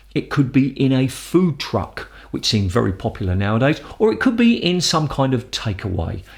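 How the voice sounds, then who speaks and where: In a British accent, a man talks at a moderate pace, somewhat breathy, with very wide pitch swings. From London. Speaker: English teacher. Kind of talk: educational explanation to camera.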